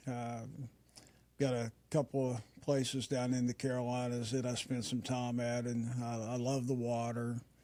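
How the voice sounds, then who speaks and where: A man with an Appalachian accent speaks at medium pitch and a fairly slow pace. His tone is dark and mellow, and his intonation stays monotone and flat. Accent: Appalachian American. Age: 60s. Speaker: retired businessman. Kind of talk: interview. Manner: hesitant, many fillers.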